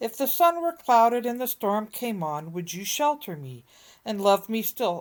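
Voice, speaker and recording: A woman's put-on character voice, fairly high in pitch and moderate in pace, on a very clean recording with a silent background. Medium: read story.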